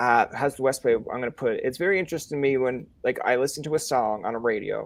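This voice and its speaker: Here a man talks at a fairly quick pace with a Newfoundland accent. His pitch is fairly high. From Newfoundland, Canada. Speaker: podcast host. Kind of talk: casual interview chat. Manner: animated, rambling fast.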